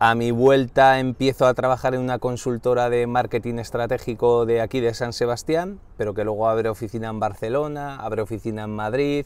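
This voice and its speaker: With a normal speaking voice, a man talks at a fairly quick pace, with hardly any pauses, at a medium pitch. His intonation is fairly even, and the sound is dry with no echo. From Basque Country, Spain (Irun, Gipuzkoa). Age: 40s. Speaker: director of an organizational culture centre. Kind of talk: interview. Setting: in-person at the centre's building. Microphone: lapel.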